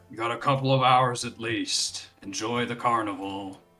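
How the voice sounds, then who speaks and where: A man's put-on character voice at medium pitch and moderate pace, with faint music in the background. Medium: actual play. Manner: brisk.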